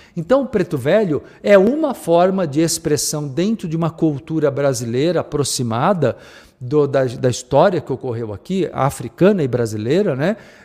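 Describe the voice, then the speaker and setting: Speaking at a moderate pace, a man with a fairly high pitch uses lively intonation, his tone upbeat and warm as well as dark and mellow. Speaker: radio host and spiritual teacher. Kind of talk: radio dj patter: live radio show host chat with station and channel plugs. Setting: radio studio broadcast, streamed online. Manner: upbeat, warm, direct audience address, chatty and promotional.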